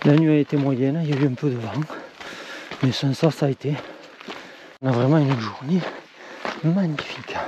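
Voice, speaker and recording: Against noticeable background noise, a man with a fairly high pitch talks at a moderate pace with fairly even intonation and long, frequent pauses. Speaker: hiking vlogger. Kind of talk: outdoor vlog narration. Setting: outdoors in the mountains. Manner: whispering.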